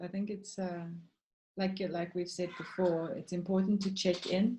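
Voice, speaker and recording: Background music accompanies the recording. A woman talks at a fairly low pitch. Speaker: webinar moderator. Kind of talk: panel discussion. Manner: calm, slowed after breathing exercise.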